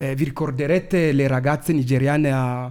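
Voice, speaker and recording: A man's dark, mellow voice at a moderate pace. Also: very clean recording, silent background. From Congo. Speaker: activist, march organizer. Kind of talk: radio interview. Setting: studio.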